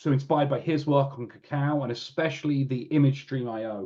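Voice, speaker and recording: At a moderate pace, a man speaks at a medium pitch in a dark, mellow tone with fairly even intonation. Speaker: real-time computing engineer presenting at a webinar. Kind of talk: technical webinar presentation. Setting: online webinar. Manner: halting, many fillers and restarts.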